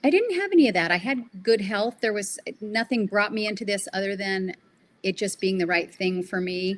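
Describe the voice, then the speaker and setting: In an unremarkable speaking voice, a woman talks at a moderate pace with ordinary pitch variation. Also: medium pitch for a woman. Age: 60s. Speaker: lymphatic therapist. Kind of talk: podcast interview. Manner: casual, with frequent fillers.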